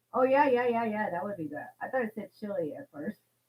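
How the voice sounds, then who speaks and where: A loud woman with a fairly high pitch talks at a very fast pace. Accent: American. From Virginia, US. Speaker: co-host reading viewer questions. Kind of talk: live stream chat. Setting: live video stream.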